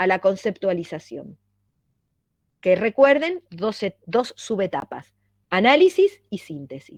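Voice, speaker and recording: Fairly high in pitch, a woman's voice makes very wide pitch swings. She speaks at a fairly slow pace in a dry, close sound with no echo. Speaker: university lecturer. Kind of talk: lecture.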